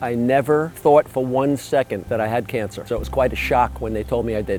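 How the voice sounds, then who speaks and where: The speaker talks at a fairly quick pace, pitch varying in an ordinary way, as music plays in the background. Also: man. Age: 70s. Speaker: cancer survivor and patient counselor. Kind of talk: testimony.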